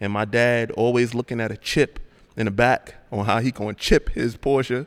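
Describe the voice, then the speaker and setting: Delivered in a New York accent, the speech has monotone, flat intonation. The recording is very clean, with a silent background. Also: man. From Brooklyn, New York. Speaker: car YouTuber. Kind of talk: casual chat.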